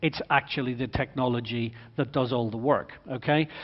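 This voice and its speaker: In an Irish accent, a man with a fairly high pitch speaks at a moderate pace with ordinary pitch variation. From Ireland. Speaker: motorsport executive speaker. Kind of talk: conference talk. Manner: animated.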